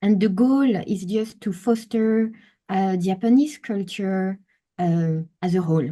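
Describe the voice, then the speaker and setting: With a French accent, a woman speaks at a very slow pace in a somewhat breathy, medium-pitched voice with ordinary pitch variation over a quiet background. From France. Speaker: travel experience designer. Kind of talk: webinar presentation. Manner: hesitant, many fillers.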